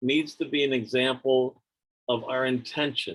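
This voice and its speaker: A man speaks in an ordinary speaking voice, medium in pitch and moderate in pace. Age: 60s. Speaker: teacher and storyteller. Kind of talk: personal storytelling on a video call. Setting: video call.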